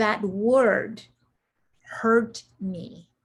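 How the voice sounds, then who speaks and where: With fairly even intonation, a woman talks in a fairly high, somewhat breathy voice. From Central America. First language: Spanish. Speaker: executive coach and military veteran. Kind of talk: interview.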